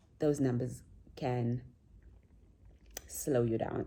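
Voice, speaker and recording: Soft-spoken and with vocal fry, a woman speaks at a very slow pace in a dark, mellow tone. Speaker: vlogger. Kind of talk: casual vlog talk.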